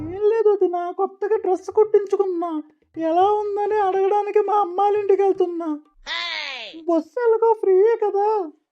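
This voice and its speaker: In a cartoonish character voice, a woman speaks at an extremely high pitch with monotone, flat intonation. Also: moderate pace. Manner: chatty, gossipy.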